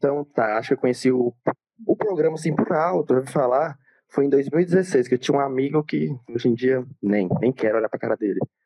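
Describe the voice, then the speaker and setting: Talking at a fairly quick pace, a man with a normal speaking voice of medium pitch uses lively intonation. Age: young. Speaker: student and aspiring influencer. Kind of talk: casual chat.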